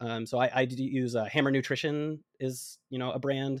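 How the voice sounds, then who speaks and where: An unremarkable speaking voice at a moderate pace, with fairly even intonation against a quiet background. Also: man. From Atlanta, Georgia, US South. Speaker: runner and podcaster. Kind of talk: interview.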